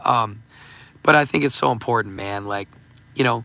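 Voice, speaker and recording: Fairly quick male speech, medium pitch, ordinary pitch variation and a bright, sharp tone, in a very clean recording with a silent background. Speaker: livestream host and self-help author. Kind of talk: casual livestream talk. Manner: halting, many fillers.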